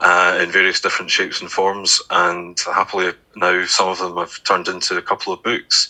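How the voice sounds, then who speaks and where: A man with a Scottish accent, talking at a fairly quick pace with hardly any pauses, over noticeable background noise. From Scotland, Glasgow. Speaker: author and poet. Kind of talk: interview. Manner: hesitant, many fillers.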